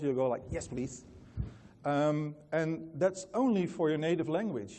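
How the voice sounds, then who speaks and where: A man with a Dutch accent, fairly high in pitch, at a moderate pace with ordinary pitch variation. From Netherlands. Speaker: company founder, conference speaker. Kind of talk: conference talk. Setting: stage with audience. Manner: many fillers and hesitations.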